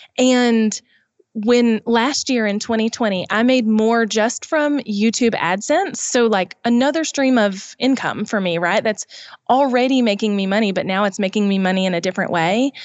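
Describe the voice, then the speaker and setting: Keeping her loudness very even, a woman with a Southern US accent speaks at a moderate pace and a fairly high pitch, with ordinary pitch variation. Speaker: YouTube business expert. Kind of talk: podcast interview.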